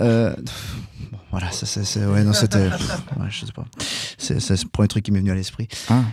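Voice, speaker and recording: A man's fairly low, somewhat breathy voice at a fairly slow pace, with ordinary pitch variation and long, frequent pauses. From Geneva, Switzerland. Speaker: rock singer and keyboardist. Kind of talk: casual radio interview.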